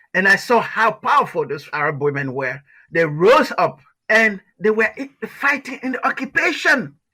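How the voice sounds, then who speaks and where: In a raised, projected voice, a man speaks at a moderate pace with a high pitch, very wide pitch swings and a bright, sharp tone, on a very clean recording with a silent background. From Liberia. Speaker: author. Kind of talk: interview answer.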